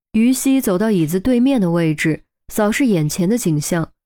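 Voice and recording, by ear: With a quiet background, a natural voice reads aloud using lively intonation.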